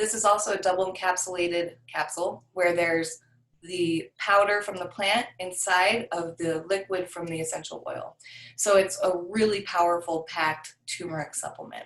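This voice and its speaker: Here is a woman with an unremarkable speaking voice, medium in pitch. She keeps a moderate pace and fairly even intonation. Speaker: essential oils class teacher. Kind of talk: online class presentation.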